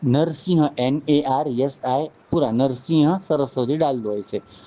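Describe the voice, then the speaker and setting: A man with a Marathi accent speaks at a fairly high pitch, his pitch rising and falling in an ordinary way. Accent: Marathi-toned Hindi. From Maharashtra, India. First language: Marathi (speaking Hindi). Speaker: spiritual teacher. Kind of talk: spiritual talk with personal storytelling. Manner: halting, with frequent restarts.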